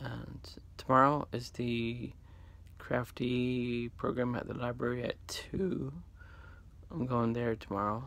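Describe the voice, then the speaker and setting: Speaking at a very slow pace with fairly even intonation, a man is heard in a dry recording with no echo. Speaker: vlogger. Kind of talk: casual vlog chat. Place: home room. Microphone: phone near.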